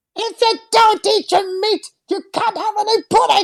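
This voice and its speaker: In a put-on character voice, the speaker uses an extremely high pitch. The tone is angry and the pace is moderate. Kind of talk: stern, bossy. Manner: angry, scolding.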